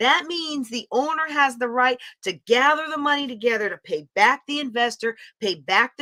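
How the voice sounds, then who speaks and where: A woman with an American accent speaks in an animated, bright, sharp tone. The sound is dry and close, with no echo. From US East Coast (New York / Pennsylvania). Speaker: real estate investing educator. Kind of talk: lecture.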